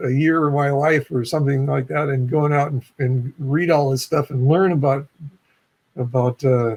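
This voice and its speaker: The man's voice is somewhat breathy and fairly high in pitch. He talks at a moderate pace with fairly even intonation. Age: 70s. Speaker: retired physics professor. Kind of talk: casual chat.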